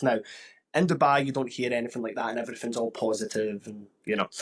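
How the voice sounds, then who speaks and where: A man speaks with a Glaswegian accent. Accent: Glaswegian Scottish. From Scotland, Glasgow. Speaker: podcast host. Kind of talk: casual interview chat.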